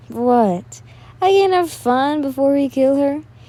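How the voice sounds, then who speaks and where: A woman speaks at a fairly slow pace in a put-on character voice, high-pitched, with lively intonation. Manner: mocking.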